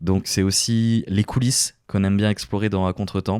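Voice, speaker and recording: A dark, mellow tone in a dry, close sound with no echo, on a very clean recording with a silent background. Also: man. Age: 20s. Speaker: podcast host and radio presenter. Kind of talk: casual solo podcast monologue. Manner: hesitant, many filler words.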